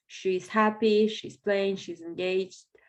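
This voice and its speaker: A woman speaks at a fairly slow pace. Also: quiet background. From Belarus. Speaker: business owner. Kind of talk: podcast interview. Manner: halting.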